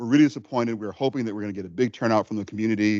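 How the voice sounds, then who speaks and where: A man speaks at a medium pitch with fairly even intonation. The background is quiet. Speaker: guest lecturer on food justice. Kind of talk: lecture. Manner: fast.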